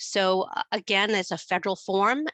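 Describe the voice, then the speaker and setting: At a moderate pace, a woman with an American accent speaks at a medium pitch. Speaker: student finance expert. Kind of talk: webinar presentation.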